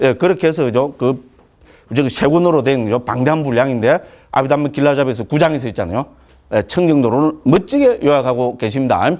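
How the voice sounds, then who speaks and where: A man at a very fast pace, medium in pitch, animated in tone and lively in intonation, over a quiet background. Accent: Gyeongsang. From Gyeongsang province, Korea. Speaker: Buddhist monk teacher. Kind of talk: lecture. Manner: animated, colloquial.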